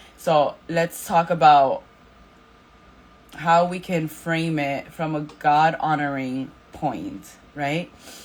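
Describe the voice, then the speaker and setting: Very slowly, a woman speaks in a very deep, low pitch with fairly even intonation. Her pauses are long and frequent. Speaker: Bible study leader. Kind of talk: Bible study talk. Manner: casual, filler words.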